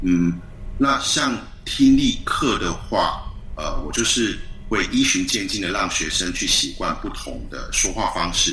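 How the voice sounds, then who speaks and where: The room echo is audible and background noise is noticeable. This man talks fairly slowly. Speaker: university language lecturer. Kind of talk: interview. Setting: video call. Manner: hesitant, many fillers.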